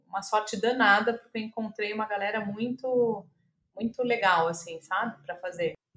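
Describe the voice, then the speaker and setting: Speaking at a fairly slow pace, this is an unremarkable speaking voice with ordinary pitch variation. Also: woman. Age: 40s. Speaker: screenwriter and playwright. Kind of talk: interview conversation.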